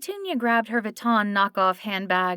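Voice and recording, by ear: This is reading aloud in a natural voice.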